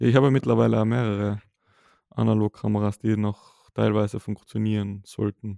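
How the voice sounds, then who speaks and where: A man in a Tyrolean accent, fairly low-pitched with a dark, mellow tone, fairly even intonation, moderate pace and a dry, close sound with no echo. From Austria, Tyrol. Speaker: podcast co-host, photographer. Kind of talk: casual chat.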